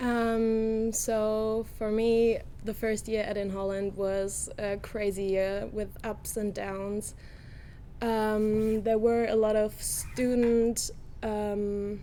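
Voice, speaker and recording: A woman speaks very slowly with a dark, mellow tone and a fairly high pitch. Her intonation stays monotone and flat, and the room echo is audible. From Germany. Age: 20s. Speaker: university student. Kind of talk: casual interview. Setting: studio.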